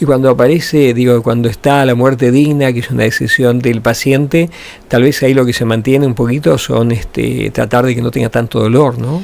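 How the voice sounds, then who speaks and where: Amid noticeable background noise, a man at medium pitch speaks at a fairly quick pace with fairly even intonation. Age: 70s. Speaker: radio host. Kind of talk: radio interview.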